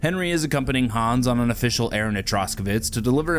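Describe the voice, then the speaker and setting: Talking very fast, a man at a medium pitch uses lively intonation. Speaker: gaming YouTuber. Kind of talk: gameplay commentary narration. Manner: less animated than usual, closer to normal voice; casual.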